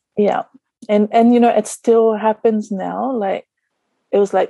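A dark, mellow tone in an Australian accent, flat and monotone at a fairly slow pace, with a dry, close sound and no echo. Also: woman. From Australia, Sydney. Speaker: energy healer and spa owner. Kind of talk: casual interview chat. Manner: hesitant, many fillers.

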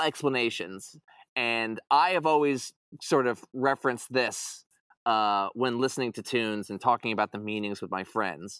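A man with an American accent speaks at a moderate pace in an unremarkable speaking voice of medium pitch. The recording is very clean with a silent background, and the sound is dry and close with no echo. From Long Island, New York. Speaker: t-shirt artist and music fan. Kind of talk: casual chat. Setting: studio.

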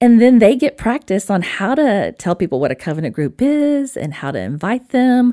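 A woman's fairly high voice with a dark, mellow tone, very wide pitch swings and an Alabama accent, hardly any pauses, on a very clean recording with a silent background. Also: moderate pace. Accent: Southern US (Alabama). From Alabama, US South. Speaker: disciple maker and spiritual director. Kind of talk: casual interview chat, with a poem read aloud.

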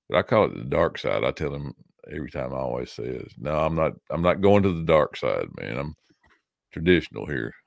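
A man talks at a fairly quick pace in a Tennessee accent. The sound is dry and close with no echo, and the recording is very clean with a silent background. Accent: Southern US (Tennessee). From US South, Tennessee. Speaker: podcaster. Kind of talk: casual chat.

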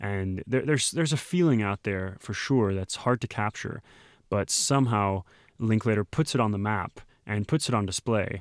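A man's fairly low voice with a Texan accent, dry and close with no echo, on a very clean recording with a silent background. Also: ordinary pitch variation, moderate pace. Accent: Texan American English. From Texas. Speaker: podcast host. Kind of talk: casual chat.

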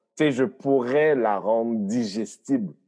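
A man's medium-pitched voice, very slow, with very wide pitch swings, in a very clean recording with a silent background. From Haiti. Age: 40s. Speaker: comedian and comedy producer. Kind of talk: casual chat.

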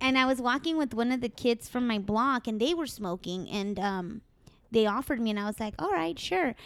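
This woman talks at a fairly quick pace. She has an unremarkable speaking voice. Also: fairly high pitch for a woman, lively intonation. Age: 30s. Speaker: marijuana industry worker. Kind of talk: casual chat. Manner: casual, profane.

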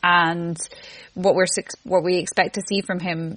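A woman at a medium pitch talks at a moderate pace in a plain, everyday voice. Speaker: football fan guest. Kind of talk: casual football discussion.

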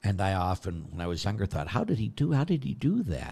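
Very wide pitch swings mark a man's very deep, low voice, which carries vocal fry. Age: 60s. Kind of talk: q&a livestream with prayer.

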